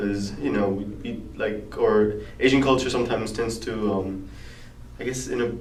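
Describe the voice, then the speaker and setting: A man with a Korean accent speaks at a fairly low pitch with ordinary variation. Noticeable background noise and audible room echo are present. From South Korea. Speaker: college student interviewee. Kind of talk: interview answers. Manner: halting.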